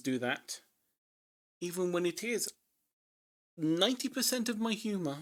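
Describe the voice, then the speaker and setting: Long, frequent pauses at a moderate pace on a very clean recording with a silent background. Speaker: livestreamer doing figure drawing. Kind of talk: casual live-stream chat. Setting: live stream. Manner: rambling with repeated filler words.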